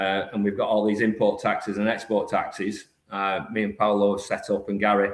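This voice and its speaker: This man's voice sits fairly low. He keeps to a moderate pace. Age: 50s. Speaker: business founder. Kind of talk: podcast interview.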